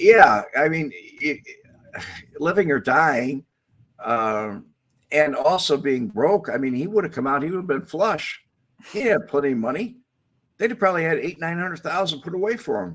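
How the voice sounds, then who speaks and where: This man speaks in a fairly high voice with vocal fry and an American accent, moving at a moderate pace through very wide pitch swings and long, frequent pauses. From Chicago area, US. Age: 70s. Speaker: former mob associate turned informant. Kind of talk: podcast interview.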